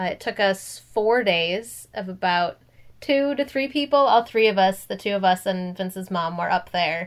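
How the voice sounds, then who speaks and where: In an American accent, a woman with an unremarkable speaking voice talks at a moderate pace, medium in pitch with ordinary pitch variation. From US Midwest, Minnesota. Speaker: podcast co-host. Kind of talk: casual chat.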